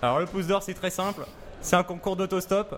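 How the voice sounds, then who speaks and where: A high-pitched man at a fairly quick pace, with noticeable background noise. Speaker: student club representative. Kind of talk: casual chat.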